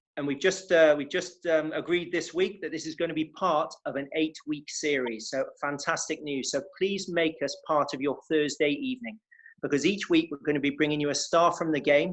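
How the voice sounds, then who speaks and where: A man with a fairly high pitch and ordinary pitch variation talks at a moderate pace with hardly any pauses. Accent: English. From West Country, England. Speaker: sports historian and interviewer. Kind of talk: event hosting introduction.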